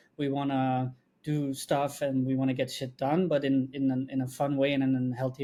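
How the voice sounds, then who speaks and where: A man speaks with a non-native accent at a fairly high pitch, his tone dark and mellow. The recording is very clean, with a silent background. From Belgium. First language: not English. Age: 20s. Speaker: video agency co-founder. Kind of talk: podcast interview. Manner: many fillers and restarts.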